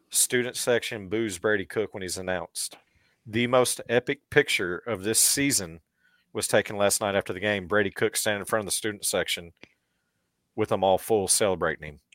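On a very clean recording with a silent background and a dry, close sound with no echo, a man talks at a fairly quick pace in a fairly low pitch with ordinary pitch variation. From Missouri (southwest). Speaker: podcast co-host. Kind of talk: casual chat. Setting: studio.

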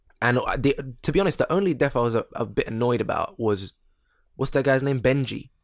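Here is a man with an unremarkable speaking voice, pitched medium. He moves at a fairly quick pace with ordinary pitch variation. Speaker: podcast co-host. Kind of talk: casual chat.

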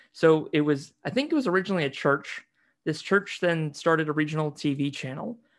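Against a quiet background, a man with a plain, everyday voice and an American accent speaks at a fairly quick pace, his pitch fairly high with ordinary variation. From US Pacific Northwest, near Seattle, with yearly stays in New Zealand. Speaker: podcast guest. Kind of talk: casual interview.

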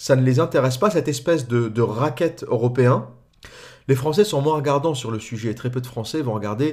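A man's unremarkable speaking voice at medium pitch, fairly quick, with ordinary pitch variation, in a very clean recording with a silent background. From France. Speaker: political commentator. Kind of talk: monologue commentary.

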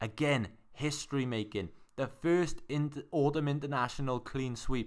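A man with a Welsh accent and ordinary pitch variation. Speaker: sports podcast host. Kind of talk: casual sports chat.

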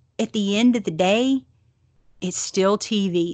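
A woman with a strong Southern US accent speaks at a very slow pace, her pitch varying in an ordinary way, in a dry, close recording with no echo and a quiet background. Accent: thick Southern. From US South. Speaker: podcast host. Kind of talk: casual chat. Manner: conversational, with many fillers.

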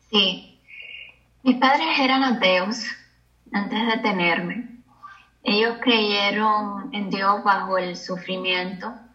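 With audible room echo, a woman at a medium pitch speaks at a very slow pace, using ordinary pitch variation and long, frequent pauses. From Cuba. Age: 30s. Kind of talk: testimony.

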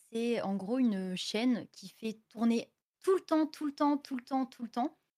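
Very slowly, a woman speaks with a high pitch and a dark, mellow tone. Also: dry, close sound with no echo. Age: 20s. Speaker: streamer. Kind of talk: casual chat. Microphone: audio a bit quiet.

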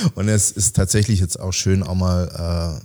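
A man's very deep, low-pitched voice with a dark, mellow tone and fairly even intonation. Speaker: special-needs teacher, author and bit-part actor. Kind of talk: casual interview.

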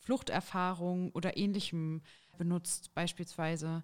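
A woman's flat, monotone delivery at medium pitch and a fairly slow pace, on a very clean recording with a silent background. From Thuringia, Jena. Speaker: trainee teacher and union youth activist. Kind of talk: interview. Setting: studio.

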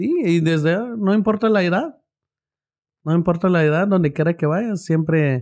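A man's high-pitched, fairly slow speech with ordinary pitch variation and very even loudness, on a very clean recording with a silent background. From Guatemala (Quetzaltenango highlands). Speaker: young restaurant owner and entrepreneur. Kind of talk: casual interview chat.

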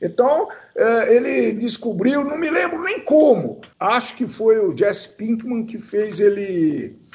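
Amid noticeable background noise, a man with a high pitch speaks at a very slow pace with lively intonation. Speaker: podcast co-host. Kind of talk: casual chat.

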